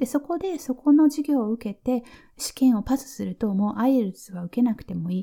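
A dark, mellow, relaxed and gentle tone at a moderate pace, with lively intonation and big swings in loudness. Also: woman, high pitch for a woman. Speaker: nurse and podcast host. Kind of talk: casual listener Q&A monologue.

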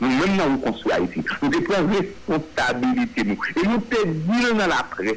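A man talks at a high pitch and a fairly slow pace, with very wide pitch swings. Noticeable background noise is present. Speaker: political party leader. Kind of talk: radio interview.

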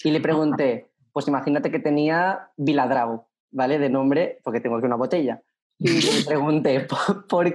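A man with a fairly high pitch talks at a fairly slow pace, using ordinary pitch variation. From Spain. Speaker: podcast guest. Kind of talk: casual chat. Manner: animated.

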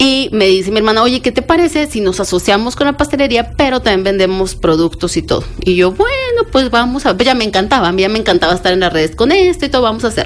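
A woman talks at a very fast pace with hardly any pauses, her fairly high pitch making very wide swings. Her loudness stays very even, while noticeable background noise runs underneath. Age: 30s. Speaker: baker and social media entrepreneur. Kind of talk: interview.

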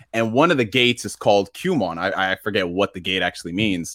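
In a very clean recording with a silent background and a dry, close sound with no echo, a man speaks at a fairly quick pace in an energetic tone that is bright and sharp. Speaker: gaming YouTuber. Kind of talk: casual chat. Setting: live stream.

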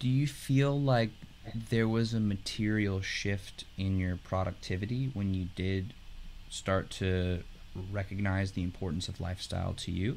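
A man speaks at a fairly slow pace in a fairly low pitch. He has a plain, everyday voice. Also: ordinary pitch variation. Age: 20s. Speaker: talk show host. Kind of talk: interview. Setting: studio.

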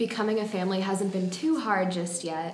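With an American accent, a woman speaks at a medium pitch with ordinary pitch variation, amid noticeable background noise and audible room echo. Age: young. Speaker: college student and actress. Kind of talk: interview.

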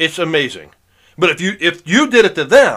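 A man speaks at a fairly quick pace with a bright, sharp tone, lively intonation and some vocal fry. The recording is very clean, with a silent background. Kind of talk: angry rant. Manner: indignant, exasperated, complaining; rambling, repetitive, stop-start.

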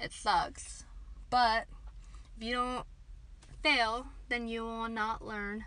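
Very slow and flat in a monotone, the voice breaks into long, frequent pauses amid audible room echo. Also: woman, fairly high pitch for a woman. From Kansas, US (Dodge City). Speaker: podcast co-host. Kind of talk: casual chat. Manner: giggly, laughs often.

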